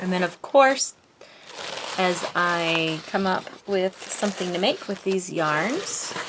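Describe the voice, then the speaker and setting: Over noticeable background noise, a woman speaks very slowly at medium pitch. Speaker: knitter and pattern designer. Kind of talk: casual talk to camera.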